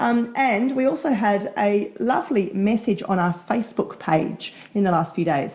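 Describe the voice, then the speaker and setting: Somewhat breathy and very even in loudness, a woman speaks at a moderate pace with lively intonation and hardly any pauses. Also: medium pitch for a woman. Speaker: podcast co-host. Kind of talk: casual chat.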